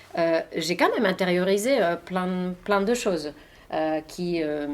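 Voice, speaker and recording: Her pitch fairly low, a woman talks very slowly. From Finland. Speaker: journalist and author. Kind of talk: interview answer.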